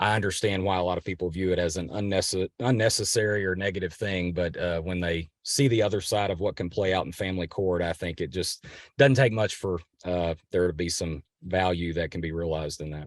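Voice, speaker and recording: A man's very deep, low voice with a Kentucky accent, ordinary pitch variation and a fairly quick pace. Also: quiet background. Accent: regional Kentucky. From western Kentucky. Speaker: family lawyer. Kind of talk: podcast interview. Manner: halting.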